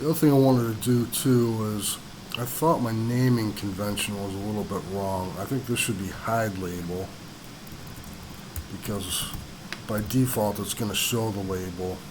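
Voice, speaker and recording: A man talks at a fairly low pitch with ordinary pitch variation and long, frequent pauses. Audible room echo and noticeable background noise surround him. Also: moderate pace. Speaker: programming tutorial creator. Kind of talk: coding tutorial. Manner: mumbling; hesitant, many fillers.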